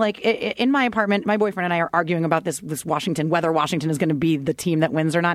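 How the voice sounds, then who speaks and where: A very fast-talking woman with an American accent and a fairly low voice, amid noticeable background noise. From Philadelphia area, US Northeast. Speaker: former sports TV host and pundit. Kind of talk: casual chat.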